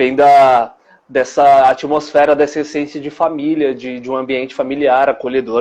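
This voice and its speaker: A man with a fairly high pitch speaks at a moderate pace in a flat, monotone way, his loudness rising and falling sharply. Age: 20s. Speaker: dance teacher. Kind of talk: interview.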